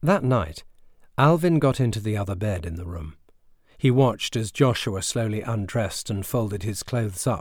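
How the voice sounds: A natural reading voice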